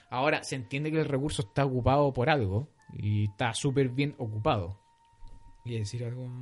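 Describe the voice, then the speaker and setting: With music in the background, a man at medium pitch talks at a fairly quick pace with ordinary pitch variation. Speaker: podcast host. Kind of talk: casual chat.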